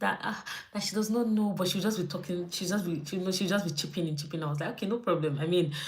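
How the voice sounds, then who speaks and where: A woman at a very fast pace with ordinary pitch variation, amid noticeable background noise and audible room echo. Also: fairly low pitch for a woman. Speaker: YouTube vlogger. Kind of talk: casual livestream chat. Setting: live stream from home.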